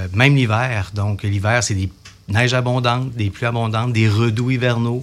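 There is noticeable background noise behind this man. He speaks with a Quebec accent in a monotone, flat intonation. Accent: Québécois French. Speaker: civil security division chief. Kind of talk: radio interview. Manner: formal.

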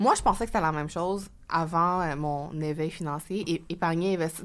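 A woman with a plain, everyday voice speaks at a fairly low pitch and a fairly quick pace, with ordinary pitch variation, in a very clean recording with a silent background. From Quebec. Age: young. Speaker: author and finance blogger. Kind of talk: interview.

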